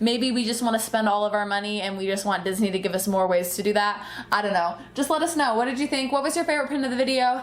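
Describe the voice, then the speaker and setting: An animated, very fast delivery with hardly any pauses, plus audible room echo and noticeable background noise. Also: woman, fairly high pitch for a woman, lively intonation. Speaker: pin collecting youtuber. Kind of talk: casual chat. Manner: loud.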